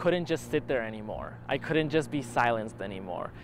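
Over light background noise, a man talks at a medium pitch in a dry sound with no echo. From Utah, US (immigrated from Argentina at seven). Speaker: documentary interviewee, student filmmaker; interviewee. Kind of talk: personal testimony. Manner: halting, with repetitions. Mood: reflective, earnest. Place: garden.

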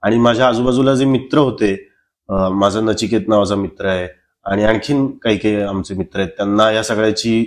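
Over a quiet background, a man speaks at a fairly low pitch with fairly even intonation. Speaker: film actor. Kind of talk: casual interview chat. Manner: soft-spoken; calm, gentle. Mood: reflective, earnest. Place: home room. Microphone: lapel.

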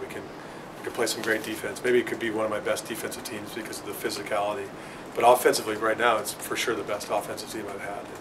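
Over noticeable background noise, a man speaks very fast in a flat monotone at a fairly low pitch. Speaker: volleyball head coach. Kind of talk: interview answer. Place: meeting room. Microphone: phone near.

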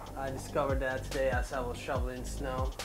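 Clear music plays behind a man as he talks. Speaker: fitness vlogger. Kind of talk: casual vlog chat. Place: garage. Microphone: lapel.

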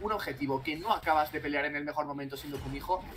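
Music plays in the background as a man talks at a very fast pace. His tone is animated, with ordinary pitch variation. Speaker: esports caster. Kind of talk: live esports commentary. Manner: animated, fast, excitable play-by-play.

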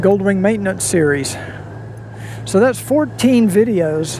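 The pace is very slow. The sound is dry with no echo, over noticeable background noise. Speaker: motovlogger. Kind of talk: casual vlog chat. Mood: cheerful, amused. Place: motorbike. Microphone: helmet.

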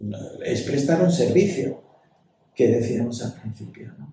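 A man speaks very slowly with vocal fry and a dark, mellow tone. His pitch swings very widely. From Ibiza, Spain. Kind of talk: casual interview chat. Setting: recording in a university residence.

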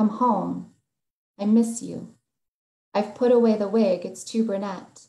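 In a quiet background with audible room echo, a woman speaks at a fairly slow pace. Her somewhat breathy voice has a dark, mellow tone and fairly even intonation. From South Dakota. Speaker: poet. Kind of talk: poetry reading; panel discussion. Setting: video call. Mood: warm, reflective, some laughter. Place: home room. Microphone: video call.

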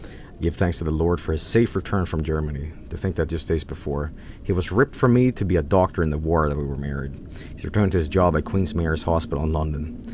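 Over noticeable background noise, a man with a very deep, low voice talks at a fairly quick pace with ordinary pitch variation. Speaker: gaming streamer. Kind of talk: reading aloud. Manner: halting, stuttering.

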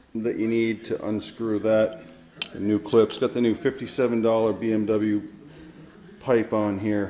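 A man talks with music in the background. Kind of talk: tutorial. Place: garage. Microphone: phone near.

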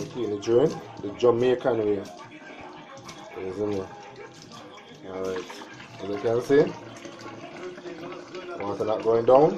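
Fairly slow speech with long, frequent pauses, ordinary pitch variation, big swings in loudness, and music in the background. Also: man, fairly low pitch for a man. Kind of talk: DIY tutorial talk to camera. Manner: casual.

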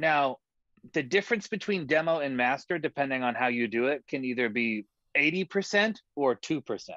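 A man with an American accent and a fairly high pitch, bright and sharp in tone, at a moderate pace, in a dry sound with no echo over a quiet background. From California. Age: 20s. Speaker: songwriter and music producer; guest. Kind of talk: conversational interview. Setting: video call from his studio. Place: studio. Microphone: video call.

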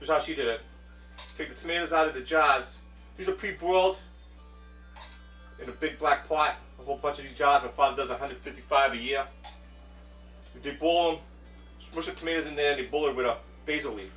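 A man talks at a very fast pace. Faint music plays in the background, and there is audible room echo. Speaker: home cook host. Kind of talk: casual cooking tutorial. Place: kitchen. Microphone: camera far.

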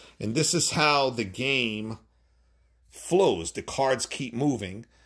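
A man talks at a very slow pace with lively intonation against a quiet background. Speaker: board game tutorial maker. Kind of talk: tutorial. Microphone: phone near.

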